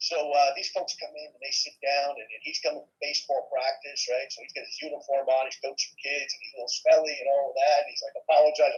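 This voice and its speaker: A man with an American accent, very fast, with hardly any pauses and big swings in loudness. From New York. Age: 60s. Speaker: network marketing leader. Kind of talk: casual chat.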